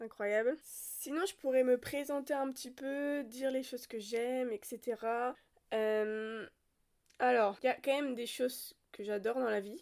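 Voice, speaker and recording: A woman's high-pitched voice with fairly even intonation, in a very clean recording with a silent background. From France, Brittany. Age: 20s. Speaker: podcast host. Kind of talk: casual monologue.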